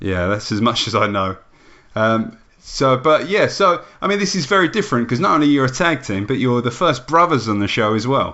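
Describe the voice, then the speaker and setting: Speaking fairly quickly in an English accent, a man with a medium-pitched voice makes very wide pitch swings. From England. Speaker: wrestling podcast host. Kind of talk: casual interview.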